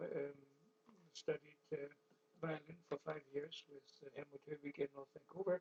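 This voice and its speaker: With a German accent, a man speaks at a fairly high pitch in a dry, close sound with no echo. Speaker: architectural designer and artist. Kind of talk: interview. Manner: halting, many fillers.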